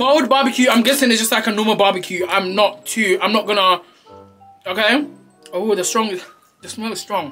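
Faint music plays behind a man's raised, projected voice. He keeps a moderate pace with ordinary pitch variation. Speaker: food reviewer. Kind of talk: casual vlog chat. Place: home room.

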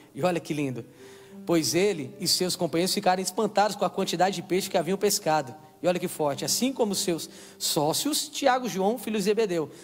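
Over music in the background, a man talks in a high pitch with lively intonation and an animated tone. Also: fairly quick pace. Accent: Brazilian. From Brazil. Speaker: preacher. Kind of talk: sermon. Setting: church. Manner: call-and-response, exhorting the crowd. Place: stage. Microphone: handheld.

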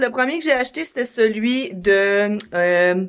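A woman's fairly high voice carries lively intonation, and the background is quiet. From Quebec. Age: 20s. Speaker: mom vlogger. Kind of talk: casual vlog talk to camera. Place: home room. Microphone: phone near.

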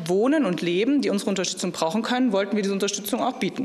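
A woman speaks with lively intonation. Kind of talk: interview answer. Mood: thoughtful, slightly wistful. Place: hall. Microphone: handheld.

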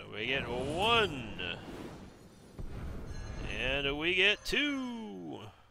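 Over clear background noise, a put-on character voice moves at a very slow pace with long, frequent pauses. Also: man, fairly high pitch for a man. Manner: dramatic counting.

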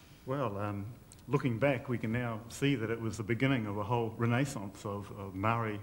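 With a New Zealand accent, a man speaks at a medium pitch and a fairly quick pace with fairly even intonation, over light background noise. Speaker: community worker, former journalist; former journalist. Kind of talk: interview answers. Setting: stage with audience. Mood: warm, admiring. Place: studio.

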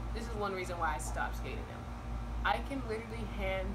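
A woman's voice under loud background noise. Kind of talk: casual vlog chat. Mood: annoyed, joking. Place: garden. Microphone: camera far.

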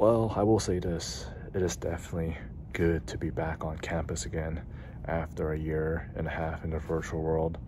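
Over noticeable background noise, a man with a very deep, low pitch and vocal fry speaks at a moderate pace with ordinary pitch variation. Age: 30s. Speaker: student vlogger. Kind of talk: video diary monologue. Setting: campus library at night. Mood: relieved, reflective. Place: hall. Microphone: phone near.

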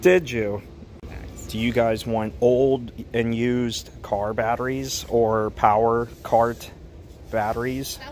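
An American accent marks this man's speech, with fairly even intonation. He talks at a very slow pace over light background noise. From Texas. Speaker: retail store vlogger; store walkthrough vlogger. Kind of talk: casual walkthrough vlog narration. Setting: outdoors and inside a closing store. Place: shop. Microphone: phone near.

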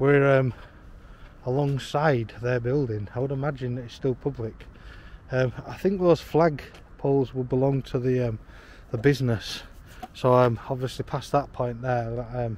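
A man talks at a moderate pace with long, frequent pauses. His intonation is fairly even, and the sound is dry with no echo. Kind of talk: casual vlog chat. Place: street. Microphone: phone near.

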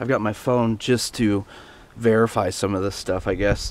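A man is speaking. His pace is moderate and the sound is dry with no echo. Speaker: vlogger. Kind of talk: casual vlog talk to camera. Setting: outdoors. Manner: loud. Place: open country. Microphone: phone near.

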